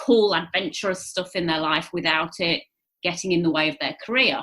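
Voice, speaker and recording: Bright and sharp in tone, a woman with an English accent speaks at a medium pitch with ordinary pitch variation. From England. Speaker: charity founder. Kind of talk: interview conversation. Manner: hesitant fillers.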